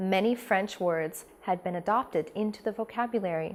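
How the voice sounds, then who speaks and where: A woman with a Northern California accent at a moderate pace. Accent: Northern Californian. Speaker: language and communications trainer. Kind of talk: tutorial.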